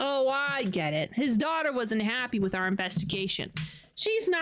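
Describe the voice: Simple, plain reading aloud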